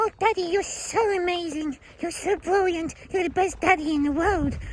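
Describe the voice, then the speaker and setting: An extremely high-pitched, put-on character voice at a moderate pace, with clear background noise. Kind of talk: silly, affectionate, doting.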